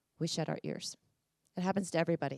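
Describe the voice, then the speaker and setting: Recorded dry and close with no echo on a very clean track with a silent background, a woman sounds energetic, her fairly low pitch carrying vocal fry and ordinary variation. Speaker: conference speaker. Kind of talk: live conference talk to an audience. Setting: live event with audience. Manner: energetic, conversational, direct.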